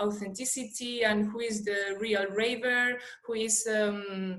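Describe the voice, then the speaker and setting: Against audible room echo, a woman in a Spanish accent speaks at a fairly high pitch with monotone, flat intonation. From Spain. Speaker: PhD researcher. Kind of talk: conference presentation. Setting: online conference video call. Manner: hesitant, many fillers.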